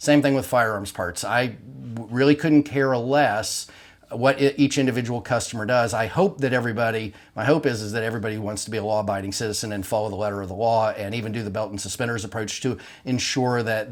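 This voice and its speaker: A man speaks very fast at medium pitch. His pitch varies in an ordinary way. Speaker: gun parts business owner. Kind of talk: product explainer video.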